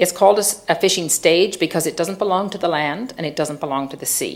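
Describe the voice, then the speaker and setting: In a Newfoundland accent, a woman talks at a very fast pace with a fairly low pitch and ordinary pitch variation. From Newfoundland, Fogo Island. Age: 60s. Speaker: social entrepreneur. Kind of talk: public lecture. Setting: theatre stage with audience.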